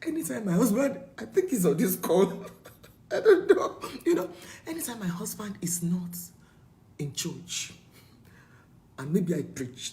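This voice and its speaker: Speaking at a fairly slow pace with long, frequent pauses, a woman's loudness swings widely in a room with audible echo. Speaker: preacher. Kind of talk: sermon. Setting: video call. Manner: animated.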